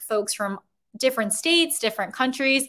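A woman is speaking. Her pace is fairly quick, and her pitch varies in an ordinary way. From US Midwest, Chicago. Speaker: career coach. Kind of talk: live webinar workshop. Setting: livestream video. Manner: animated.

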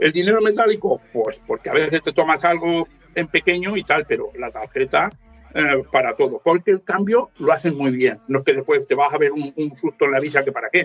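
The recording sounds dry and close, without any echo. A man speaks fairly briskly in it. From Spain, inland Valencia (Ayora). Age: 50s. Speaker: motorcycle traveller and author. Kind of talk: casual chat.

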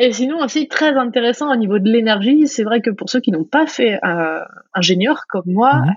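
A woman, somewhat breathy, at a moderate pace with lively intonation. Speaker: startup co-founder. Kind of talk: interview conversation.

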